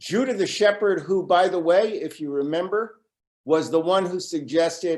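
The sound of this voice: A quiet background behind an unforced reading voice with lively intonation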